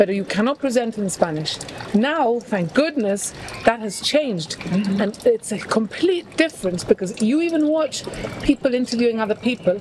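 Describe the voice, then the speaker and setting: The speaker talks at a moderate pace with lively intonation. Noticeable background noise is present. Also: woman, fairly high pitch for a woman. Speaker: broadcaster. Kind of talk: podcast conversation.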